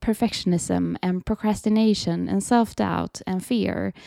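In a Swedish accent, a woman with a medium pitch and a dark, mellow tone speaks at a fairly slow pace, recorded dry and close with no echo against a very clean, silent background. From Sweden. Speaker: creative coach and podcast host. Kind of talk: casual solo talk, unscripted.

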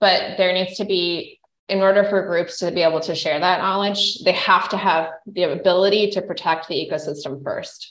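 A woman speaks in an unremarkable speaking voice at a medium pitch. Her delivery is moderately paced and fairly even in intonation, with hardly any pauses. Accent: American. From central Idaho, US. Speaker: physician and environmental entrepreneur. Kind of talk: interview. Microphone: unstable internet connection, breakups.

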